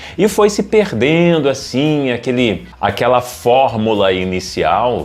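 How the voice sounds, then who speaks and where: A man's intonation is lively as music plays behind his voice. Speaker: radio announcer and broadcasting coach. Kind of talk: casual talk to camera, educational commentary for radio presenters.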